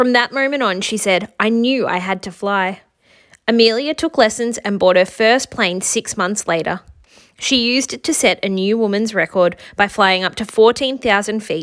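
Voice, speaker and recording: A woman with an Australian accent, fairly high in pitch, at a moderate pace with ordinary pitch variation, on a very clean recording with a silent background. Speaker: teacher. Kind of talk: children's picture book read-aloud.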